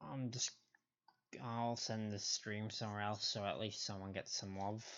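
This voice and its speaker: A man speaks quietly at a moderate pace, his fairly low pitch held in fairly even intonation. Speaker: gaming streamer. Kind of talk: live stream commentary. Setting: home stream, someone sleeping next door. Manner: quiet, keeping voice down; casual, halting.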